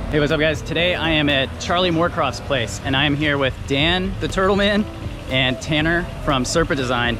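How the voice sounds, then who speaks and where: A man talks at a moderate pace with ordinary pitch variation, the sound dry with no echo and music in the background. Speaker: turtle keeper vlogger. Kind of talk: casual vlog chat. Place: garden. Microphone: phone near.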